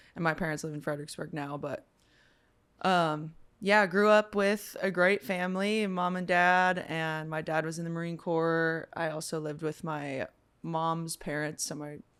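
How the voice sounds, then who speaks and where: With an American accent, a woman talks at a moderate pace in an unremarkable speaking voice, fairly low in pitch with fairly even intonation, on a very clean recording with a silent background. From Virginia (Stafford). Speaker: musician. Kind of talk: casual chat.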